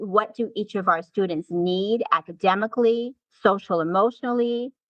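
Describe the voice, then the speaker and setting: In an unremarkable speaking voice, a woman talks at a fairly slow pace with ordinary pitch variation. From Canada. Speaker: assistant principal. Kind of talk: interview. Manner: repeats words, restarts phrases.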